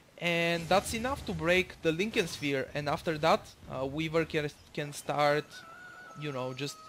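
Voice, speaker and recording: A man with a non-native accent speaks at a fairly high pitch. His pace is fairly slow. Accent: non-native English, self-described imperfect. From Bulgaria. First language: Bulgarian. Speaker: gaming commentator. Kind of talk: gameplay commentary. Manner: halting, many fillers.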